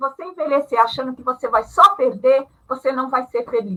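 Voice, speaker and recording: A woman projects a raised voice with a bright, sharp tone and high pitch, keeping a moderate pace. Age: 60s. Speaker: retired panel guest on ageing. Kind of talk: live panel discussion.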